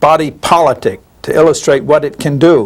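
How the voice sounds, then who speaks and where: Speaking with a New Jersey accent, a man talks at a fairly slow pace in a fairly high pitch. Noticeable background noise runs behind him. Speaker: statistician. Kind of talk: interview. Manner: halting with fillers.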